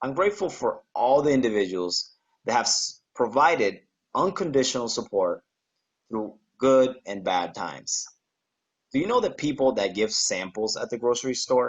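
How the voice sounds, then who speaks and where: A man with a Spanish accent, medium pitch, very wide pitch swings and a moderate pace. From Panama. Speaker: graduating student. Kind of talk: prepared speech.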